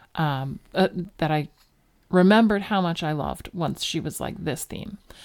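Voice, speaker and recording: A woman's fairly low voice with an American accent, at a fairly slow pace with ordinary pitch variation, on a very clean recording with a silent background. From Philadelphia suburbs, Delaware County. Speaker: podcast co-host. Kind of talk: casual chat.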